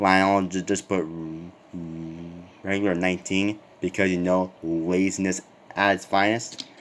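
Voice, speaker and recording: A man's voice with music in the background. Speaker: diecast car collector. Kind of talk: casual review talk to camera. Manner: stuttering.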